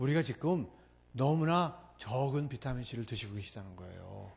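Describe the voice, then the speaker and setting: His intonation is lively. The man's voice carries some breathiness. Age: 60s. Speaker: professor. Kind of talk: lecture. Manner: animated.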